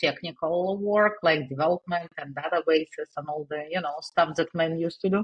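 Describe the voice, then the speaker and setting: The voice carries a Russian accent and fairly even intonation. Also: woman. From Russia, Saint Petersburg. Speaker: digital marketing agency owner. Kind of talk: interview. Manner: halting, many fillers.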